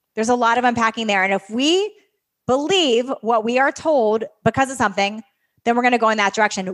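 A woman with a normal speaking voice, fairly high in pitch with ordinary pitch variation, at a fairly quick pace over a very clean recording with a silent background. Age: 40s. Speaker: fitness coach and podcast host. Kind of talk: interview. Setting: stage with audience.

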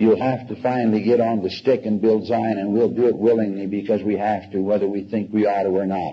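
A man speaks at a fairly quick pace in a monotone, flat intonation with hardly any pauses. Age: 70s. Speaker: religious lecturer. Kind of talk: religious lecture to an audience. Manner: conversational, unscripted.

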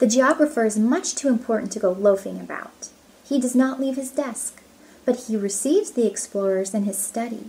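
This fairly quick voice has a gentle tone that is dark and mellow. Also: woman, fairly high pitch for a woman, ordinary pitch variation. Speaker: storybook reader. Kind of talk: audiobook reading aloud. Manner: gentle, measured storybook pacing. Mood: calm, gentle storytelling. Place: home room. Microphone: phone near.

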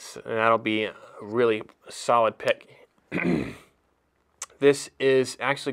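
A man talks at a fairly slow pace with monotone, flat intonation. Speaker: knife retailer presenter; presenter. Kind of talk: product review. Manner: halting, many fillers. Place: home room.

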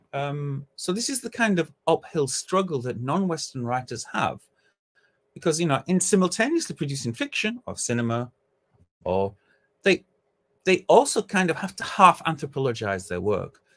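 A man with a British accent and very wide pitch swings. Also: moderate pace. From Britain. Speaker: academic; conference speaker. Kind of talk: conference talk. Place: home room.

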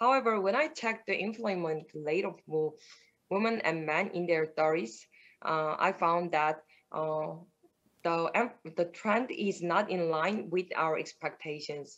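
A woman with a Korean accent and a fairly low pitch speaks at a fairly slow pace, with long, frequent pauses, against a quiet background. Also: ordinary pitch variation. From South Korea. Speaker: PhD student in astronomy; remote conference presenter. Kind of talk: conference talk; conference presentation. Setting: remote video call. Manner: halting. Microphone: webcam.

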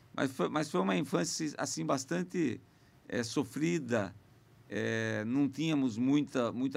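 A man speaks with lively intonation. There is vocal fry in his voice. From Sorocaba, São Paulo state, Brazil. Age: 50s. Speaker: mayor and politician. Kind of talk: podcast interview. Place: studio. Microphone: studio mic.

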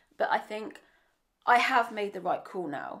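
A woman talks at a medium pitch. The rise and fall of her voice is ordinary. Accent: English. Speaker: vlogger. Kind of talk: vlog monologue.

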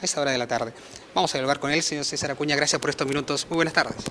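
There is light background noise as a man speaks at a fairly high pitch. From Peru. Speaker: news reporter. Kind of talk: interview. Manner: formal. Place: office. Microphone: handheld.

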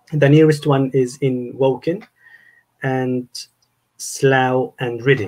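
Speaking with an Arabic accent, a man uses medium pitch and fairly even intonation against a quiet background. His pace is very slow, with long, frequent pauses. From Egypt. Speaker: university staff member; guest. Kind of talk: casual interview conversation. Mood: calm, explanatory. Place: home room. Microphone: video call.

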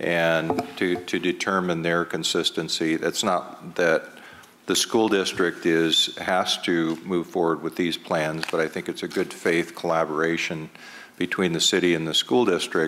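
A man with a very deep, low pitch speaks in a bright, sharp tone, monotone and flat. His pace is fairly slow, over light background noise. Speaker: city development official. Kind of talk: public meeting discussion. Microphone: podium.

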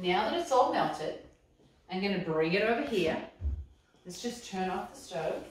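Room echo can be heard around the woman as she speaks. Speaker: cookbook author demonstrating. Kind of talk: tutorial. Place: kitchen. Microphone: camera far.

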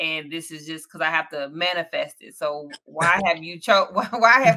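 A woman uses a normal speaking voice at a moderate pace, with a fairly low pitch and ordinary pitch variation. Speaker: interview host. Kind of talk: interview questions. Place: home room. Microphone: video call.

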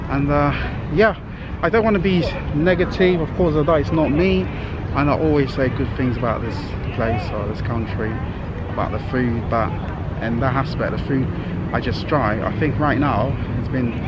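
Against loud background noise, a man speaks at a moderate pace with long, frequent pauses, the sound dry with no echo. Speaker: travel vlogger. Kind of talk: casual vlog chat. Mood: disappointed, reflective. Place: street. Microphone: phone near.

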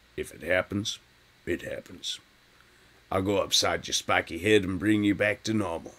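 A man's gruff, put-on character voice, fairly low in pitch, at a moderate pace, flat and monotone, with big swings in loudness and long, frequent pauses

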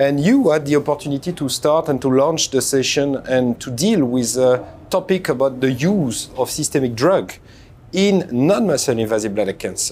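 A man at a moderate pace, with light background noise. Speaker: host. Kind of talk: interview host introduction and questions. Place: hall. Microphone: lapel.

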